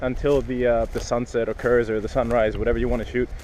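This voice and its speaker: This man talks at a very fast speed, and noticeable background noise can be heard. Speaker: photography vlogger. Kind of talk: outdoor vlog tutorial. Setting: outdoors on a pier. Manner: loud, shouting over weather.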